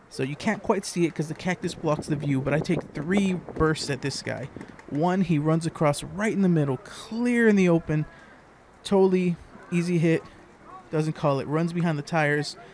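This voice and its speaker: A man speaks with a fairly high pitch. Noticeable background noise sits behind him. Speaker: airsoft player. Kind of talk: gameplay commentary voice-over. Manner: low-energy.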